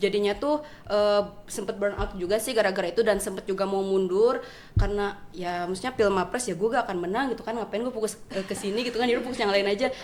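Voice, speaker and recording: In a Sundanese accent, a woman talks at a very fast pace with fairly even intonation over noticeable background noise. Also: medium pitch for a woman. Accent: Sundanese-accented Indonesian. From West Java, Indonesia (Sundanese). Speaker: university student, award winner. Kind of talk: casual podcast interview.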